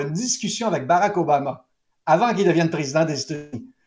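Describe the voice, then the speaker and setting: Speaking very fast in a Quebec accent, a man with a high pitch shows ordinary pitch variation. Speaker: pollster. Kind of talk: interview. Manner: halting.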